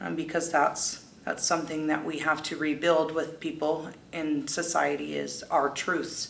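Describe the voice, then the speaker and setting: In a room with audible echo, a woman speaks at a fairly slow pace in an American accent. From US West Coast. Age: 30s. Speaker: person in recovery. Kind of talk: testimony.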